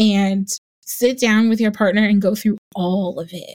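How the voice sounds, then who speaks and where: Speaking in a flat monotone with fairly high pitch, a woman is heard on a very clean recording against a silent background. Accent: American. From New Jersey. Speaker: wedding planner. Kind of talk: casual interview chat.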